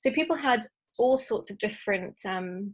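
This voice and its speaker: Here a woman speaks at a fairly high pitch. Her pace is moderate. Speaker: art history teacher. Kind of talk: online lecture. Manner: hesitant, many ums.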